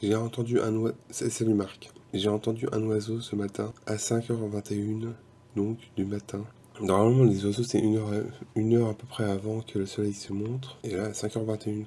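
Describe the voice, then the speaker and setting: Fairly low male voice in a flat monotone. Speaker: vlogger and musician. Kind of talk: casual vlog narration. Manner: fast, poorly articulated.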